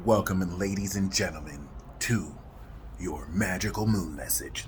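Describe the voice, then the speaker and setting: Someone performs a put-on character voice at a moderate pace, with clear background noise behind it. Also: man, very deep, low pitch for a man. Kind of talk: epic trailer narration. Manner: dramatic, booming announcer delivery.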